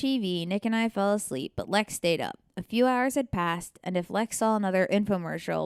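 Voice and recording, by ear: What you hear is reading aloud in a natural voice.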